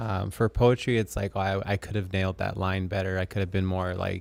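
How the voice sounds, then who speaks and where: A man's very deep, low voice at a fairly quick pace, on a very clean recording with a silent background. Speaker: poet and musician. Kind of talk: casual panel discussion. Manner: monotone, low energy; hesitant, many fillers.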